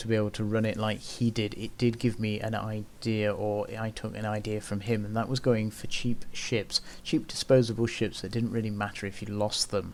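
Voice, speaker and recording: A soft-spoken man talks at a moderate pace. His pitch is fairly low. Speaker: gaming YouTuber. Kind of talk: gaming commentary.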